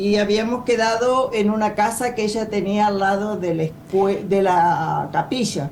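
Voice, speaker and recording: Amid noticeable background noise and audible room echo, a woman speaks at a fairly slow pace with ordinary pitch variation and very even loudness. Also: medium pitch for a woman. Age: 70s. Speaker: former political prisoner, retired rural teacher. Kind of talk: testimony. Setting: video call.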